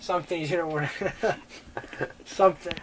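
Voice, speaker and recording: A man talks over noticeable background noise. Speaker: oral history interviewer.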